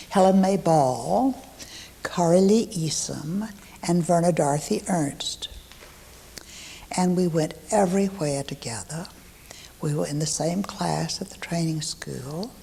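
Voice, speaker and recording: Against noticeable background noise, a woman with a Texan accent and a fairly low pitch speaks at a fairly slow pace, with ordinary pitch variation, big swings in loudness and long, frequent pauses. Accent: Texan Southern US. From East Texas (Huntsville). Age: 70s. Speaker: local elder recalling her childhood. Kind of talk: oral history interview.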